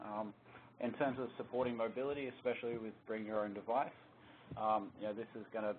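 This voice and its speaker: With an Australian accent, a man speaks fairly quickly in a fairly low, flat monotone. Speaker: security solutions architect presenting a webinar. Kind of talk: technical webinar presentation. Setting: conference call. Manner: hesitant, many fillers (um, uh).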